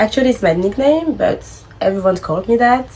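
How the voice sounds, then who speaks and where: A woman with a French accent speaks at a moderate pace in a high voice with very wide pitch swings. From France. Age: 20s. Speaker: content creator. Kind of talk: casual vlog talk.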